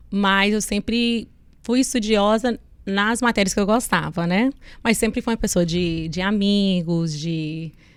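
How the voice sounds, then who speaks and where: A woman with an American accent talks at a fairly slow pace with ordinary pitch variation and a medium pitch. The recording is very clean with a silent background. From US Northeast, Connecticut. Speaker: businesswoman. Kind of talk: interview.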